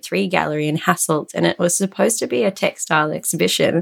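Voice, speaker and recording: The voice is a woman's, with an Australian accent. The sound is dry and close with no echo. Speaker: fashion tech CEO and designer. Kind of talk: interview.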